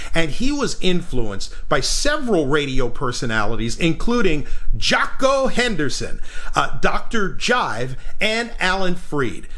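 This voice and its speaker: Very wide pitch swings at a fairly slow pace, over noticeable background noise. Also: man, high pitch for a man. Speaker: radio broadcaster. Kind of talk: radio history narration.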